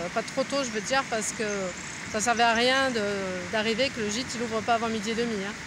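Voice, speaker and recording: A woman talks at a fairly quick pace. The sound is dry with no echo, though background noise is noticeable. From France. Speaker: pilgrim vlogger. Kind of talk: casual video diary. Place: garden. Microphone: phone near.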